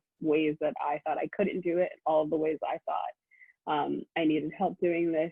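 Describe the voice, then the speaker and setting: A woman with a Philadelphia accent and a fairly low pitch talks at a moderate pace. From US Northeast, Philadelphia. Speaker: law student. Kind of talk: presentation to prospective students.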